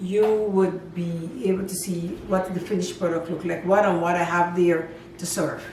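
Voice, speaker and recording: Amid noticeable background noise and audible room echo, a woman with a medium pitch talks at a moderate pace in a monotone, flat manner. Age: 70s. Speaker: home cooking channel host. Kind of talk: cooking tutorial. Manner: casual, hesitant with fillers.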